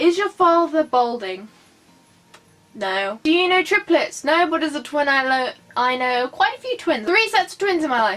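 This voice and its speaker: With music playing in the background, a woman speaks at a moderate pace, her pitch swinging very widely. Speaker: YouTuber. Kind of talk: casual Q&A vlog.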